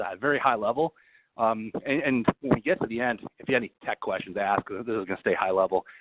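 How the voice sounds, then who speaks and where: Using ordinary pitch variation, a man talks with an American accent. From New York. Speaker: IT solutions engineer. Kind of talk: webinar presentation. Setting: conference call. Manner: fast.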